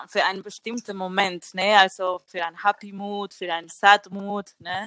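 Her tone is bright and sharp, with a Spanish accent. The woman speaks at a moderate pace in dry, close sound with no echo. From Spain. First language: Spanish (speaking German). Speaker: singer. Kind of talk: casual chat.

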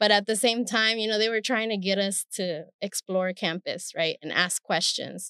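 In a Spanish accent, a woman speaks at a moderate pace and medium pitch, with fairly even intonation, hardly any pauses, and a dry, close sound with no echo. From Stockton, California (born in Mexico). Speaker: professor. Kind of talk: interview.

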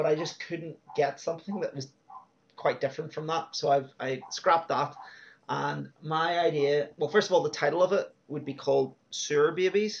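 With an Irish accent, the speaker keeps a moderate pace and fairly even intonation. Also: man, fairly high pitch for a man. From Ireland. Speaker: film podcast co-host. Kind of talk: casual chat. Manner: hesitant, many fillers.

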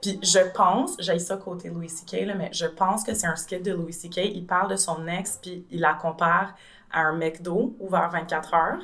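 A woman's fairly low voice, fairly slow and fairly even in intonation, with big swings in loudness. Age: 30s. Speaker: translator. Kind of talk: casual chat.

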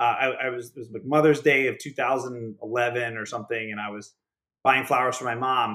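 With an American accent, a man speaks at a medium pitch and a fairly quick pace, his tone bright and sharp. His intonation is fairly even, his loudness swings widely, and the recording is very clean with a silent background. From Pittsburgh, Pennsylvania. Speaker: startup founder. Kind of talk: casual interview.

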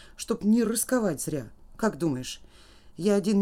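This is an unforced reading voice.

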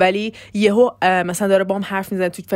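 A woman talks at a fairly quick pace and medium pitch, her intonation monotone and flat. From Iran. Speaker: podcaster. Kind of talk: casual monologue. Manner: fast.

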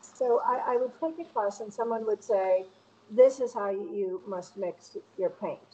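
A plain, everyday voice from a woman with an American accent, fairly high in pitch, with lively intonation and a fairly slow pace. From Connecticut, outside Hartford (Bristol). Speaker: painter. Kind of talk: casual interview. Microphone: connection dropped out at times.

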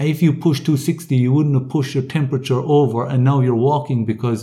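The voice is dark, mellow and somewhat breathy. It moves at a moderate pace. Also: man. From Ireland and the Netherlands. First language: English (speaking German). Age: 30s. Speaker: triathlete and coach. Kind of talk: interview. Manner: halting.

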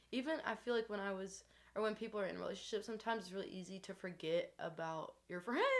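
Against noticeable background noise, a woman talks very fast with ordinary pitch variation. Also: medium pitch for a woman. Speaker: podcast host. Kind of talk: casual chat. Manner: animated.

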